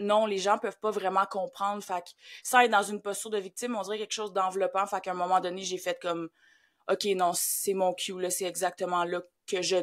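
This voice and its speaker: A woman of medium pitch talks at a fairly quick pace in a monotone, flat intonation. Her loudness swings widely in a very clean recording with a silent background. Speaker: grief facilitator. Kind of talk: podcast interview.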